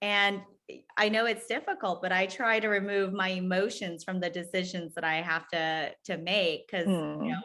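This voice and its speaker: Here is a woman with an ordinary speaking voice. She sits at a medium pitch with ordinary pitch variation. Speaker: podcast host, food business founder. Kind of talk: podcast interview, casual conversation.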